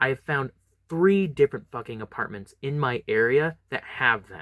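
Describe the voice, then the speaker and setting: A man with a bright, sharp tone speaks at a moderate pace with ordinary pitch variation, in a dry, close sound with no echo. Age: 20s. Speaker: YouTuber. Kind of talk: casual vlog monologue. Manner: halting, many fillers.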